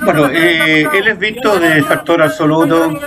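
The speech moves at a very slow pace. Noticeable background noise can be heard. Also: man. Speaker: photojournalist. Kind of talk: commentary over archive footage. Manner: halting, many fillers.

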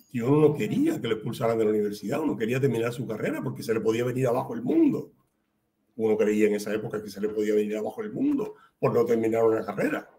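Talking at a very fast pace, a man has a dark, mellow tone, ordinary pitch variation and a somewhat breathy quality. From Cuba, Havana; Cuba. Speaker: writer and playwright; guest. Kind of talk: interview. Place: home room.

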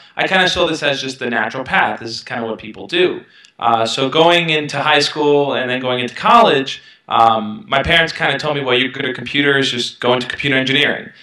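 Over a quiet background with audible room echo, a man talks at a very fast pace in a fairly high pitch and a bright, sharp tone, with ordinary pitch variation. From Brooklyn, New York; New York. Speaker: self-help YouTuber. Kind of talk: interview. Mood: reflective, earnest. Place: home room. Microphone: headset.

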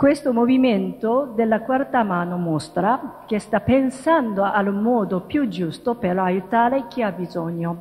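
Hardly pausing, a woman with a Japanese accent speaks at a very slow pace in a fairly high, somewhat breathy voice with lively intonation. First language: Japanese (speaking Italian). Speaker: interfaith dialogue promoter. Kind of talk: lecture. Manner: halting. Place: hall. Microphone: podium.

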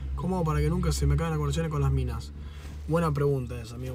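With a Rioplatense accent, a man speaks over light background noise in a dry sound with no echo. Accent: Argentine Rioplatense Spanish. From Argentina. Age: 20s. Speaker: streamer. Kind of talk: casual livestream chat. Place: car. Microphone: phone near.

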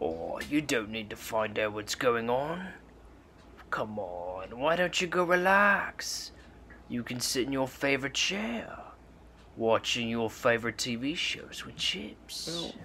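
Over clear background noise, a man of medium pitch speaks at a fairly slow pace. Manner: soothing, coaxing, persuasive.

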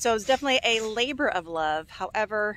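A woman with lively intonation, dry sound with no echo and light background noise. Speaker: homesteader vlogger. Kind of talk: casual vlog chat. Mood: reflective, upbeat. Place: open country. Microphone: phone near.

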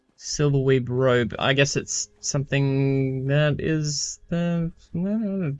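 Ordinary pitch variation in an Australian accent, with a dry sound and no echo. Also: man. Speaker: streamer. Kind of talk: casual gameplay commentary. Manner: rising inflection. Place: home room.

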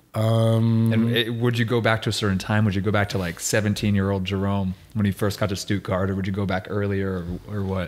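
A man with a fairly low pitch speaks at a fairly quick pace in a monotone, flat way. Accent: American. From United States. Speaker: podcast host. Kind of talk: casual chat. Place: home room. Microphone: studio mic.

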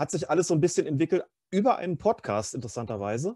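Recorded dry and close with no echo against a quiet background, a man speaks in a dark, mellow tone. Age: 50s. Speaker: freelance journalist and author. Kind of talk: casual chat. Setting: video call.

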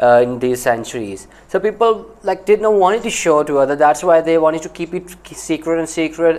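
A man's high-pitched voice with ordinary pitch variation. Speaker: knife company owner reacting to documentary. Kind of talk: video reaction commentary. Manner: halting, many fillers. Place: home room. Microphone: lapel.

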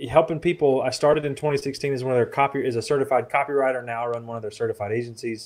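A man with a Southern US accent talks at a very fast pace with hardly any pauses. His intonation stays fairly even. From US South (Florida, south Alabama). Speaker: marketing copywriter; podcast guest. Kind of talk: interview. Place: home room. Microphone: studio mic.

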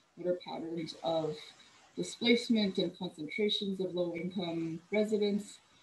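A somewhat breathy voice with fairly even intonation, at a moderate pace. Light background noise sits behind it. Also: woman. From California (Cerritos, LA County); California. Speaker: urban planner; presenter. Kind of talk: presentation. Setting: video call. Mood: warm, reflective. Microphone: video call.

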